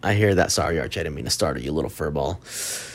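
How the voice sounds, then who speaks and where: A man with an American accent speaks with lively intonation and an animated tone. Vocal fry comes through in his voice. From Texas, Dallas (Oak Cliff). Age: 20s. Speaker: podcast host. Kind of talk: casual monologue.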